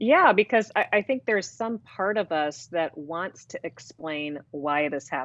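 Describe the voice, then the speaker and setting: A woman with a fairly low voice speaks at a fairly slow pace with hardly any pauses, her pitch swinging very widely. The background is quiet and the sound dry and close, without echo. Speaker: divorce coach and author. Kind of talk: interview about divorce.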